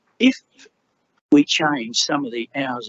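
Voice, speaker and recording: A man with an Australian accent at a moderate pace. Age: 70s. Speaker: resident speaking at council. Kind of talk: public address at council meeting. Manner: animated.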